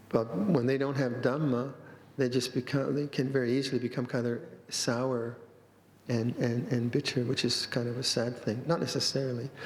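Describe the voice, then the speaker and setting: A man's monotone, flat intonation moves along at a moderate speed. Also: medium pitch for a man. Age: 70s. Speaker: Buddhist monk, monastery abbot. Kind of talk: dharma talk. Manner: halting, frequent repetitions.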